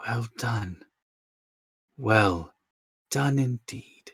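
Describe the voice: In a put-on character voice, a man booms at a medium pitch. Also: ordinary pitch variation.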